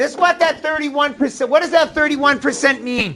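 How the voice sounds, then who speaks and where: A man speaks at an extremely high pitch in a New England accent. Noticeable background noise can be heard. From Maine, New England. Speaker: middle school math teacher. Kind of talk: classroom lesson. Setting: classroom.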